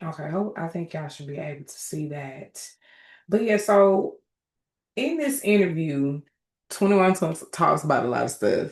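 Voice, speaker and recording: Against a quiet background, a woman with an American accent speaks at a moderate pace and a fairly low pitch, with lively intonation and long, frequent pauses. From Atlanta, US South. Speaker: commentator and life coach. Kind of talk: casual commentary vlog. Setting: screen-sharing video. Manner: animated.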